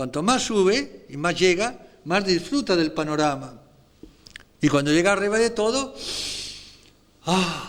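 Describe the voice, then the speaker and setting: A man speaks at a fairly slow pace in a high voice, his intonation lively and his pauses long and frequent. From Spain. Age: 70s. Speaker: priest. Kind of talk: spiritual meditation talk. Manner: animated.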